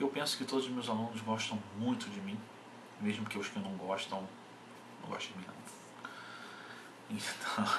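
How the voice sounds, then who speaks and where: A man's fairly low, monotone, flat voice at a fairly slow pace, with noticeable background noise. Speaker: bodybuilding coach. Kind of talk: casual vlog chat. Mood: irritated, ranting. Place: home room. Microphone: webcam.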